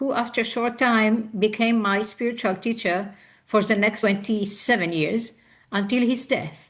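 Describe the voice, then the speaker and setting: Delivered at a fairly slow pace, the speech has a somewhat breathy quality and fairly even intonation. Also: woman, fairly high pitch for a woman. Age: 60s. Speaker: biographical counselor. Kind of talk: interview. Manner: halting.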